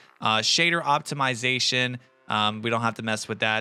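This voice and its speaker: Music plays in the background while a man speaks at a fairly quick pace. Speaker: gaming YouTuber. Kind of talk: tutorial. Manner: fast; casual, many fillers.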